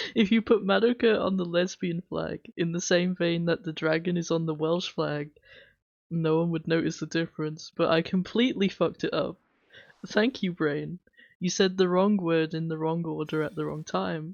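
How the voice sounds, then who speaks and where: A woman's fairly low-pitched voice in an English accent. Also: ordinary pitch variation, moderate pace. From England/Wales (UK). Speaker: streamer. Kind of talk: casual chat. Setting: livestream. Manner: chatty, rambling.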